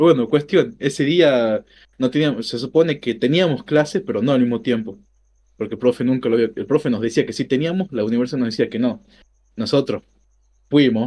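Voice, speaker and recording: A man with an Argentine accent speaks in a dark, mellow tone against a quiet background. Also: medium pitch for a man, fairly quick pace. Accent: Argentine Spanish (Rioplatense). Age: 20s. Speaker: streamer, programming student; streamer. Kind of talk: casual chat. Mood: relaxed storytelling.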